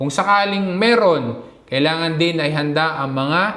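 Both noticeable background noise and audible room echo can be heard in this clip. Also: man. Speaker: vlogger. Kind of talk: tutorial.

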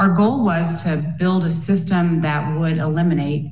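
A woman speaks with ordinary pitch variation. Audible room echo and light background noise surround her voice. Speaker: physician. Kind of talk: panel discussion. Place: home room. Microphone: webcam.

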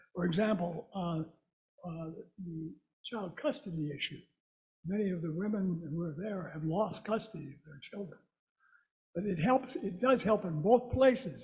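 Over a quiet background, a man with a dark, mellow tone and a high pitch speaks at a fairly slow pace with ordinary pitch variation. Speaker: club member, recovery advocate; guest. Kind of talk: speaker introduction. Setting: stage with audience. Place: hall.

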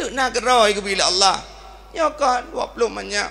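A man speaks in an Aceh accent with an animated tone. His voice is raised and projected. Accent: Acehnese. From Aceh, Indonesia. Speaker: Islamic preacher. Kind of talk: sermon. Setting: religious event with audience. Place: stage. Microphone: handheld.

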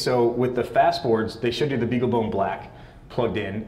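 A man speaks at a moderate pace with ordinary pitch variation, with audible room echo and light background noise. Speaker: pinball software framework developer; conference presenter. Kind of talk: conference presentation with live demo. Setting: stage with audience. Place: hall. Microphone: lapel.

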